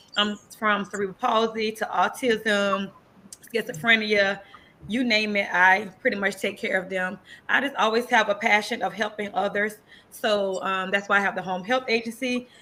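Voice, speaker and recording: With a slight Southern US accent, a woman speaks at a moderate pace and medium pitch in a bright, sharp tone, her intonation monotone and flat. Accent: slight country Southern. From US South, north Florida (Quincy, then Tampa). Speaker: nurse and entrepreneur. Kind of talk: interview. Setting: podcast show.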